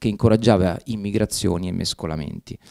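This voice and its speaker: Against a quiet background, a dark, mellow voice moves at a fairly quick pace. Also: man. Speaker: professor. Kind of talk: lecture. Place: classroom. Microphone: podium.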